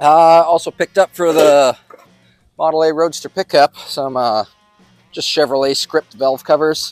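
A man with fairly even intonation, dry sound with no echo, faint music in the background. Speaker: car hobbyist vlogger. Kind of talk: casual vlog chat. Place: street.

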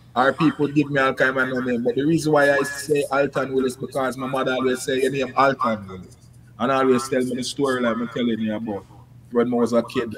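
With a strong Jamaican accent, a man speaks at a very fast pace and fairly even intonation over light background noise. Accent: Jamaican, strong patois. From Kingston, Jamaica. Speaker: musician, singer-songwriter. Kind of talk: casual interview chat. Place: home room.

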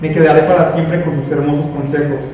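A man's fairly high, dark, mellow voice at a fairly quick pace, with little pitch movement and strong room echo

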